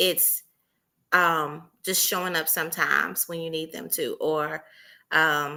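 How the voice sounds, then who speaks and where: A woman with a Southern US accent speaks very slowly in a very deep, low voice, her bright, sharp tone held to a flat monotone over a very clean recording with a silent background. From US South. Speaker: entrepreneur panelist. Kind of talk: panel discussion.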